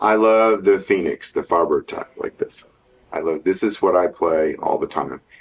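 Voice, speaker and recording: A man with a Texan accent at a moderate pace. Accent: Texan American. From Texas, Dallas area. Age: 70s. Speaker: guitar maker and guitarist. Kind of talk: interview.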